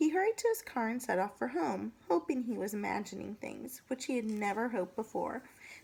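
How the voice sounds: The clip features a natural reading voice.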